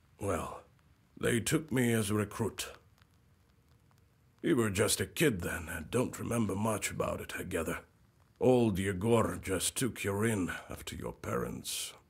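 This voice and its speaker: A man puts on a raspy character voice at a fairly low pitch. He speaks at a moderate pace with ordinary pitch variation. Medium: video game. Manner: folksy, friendly.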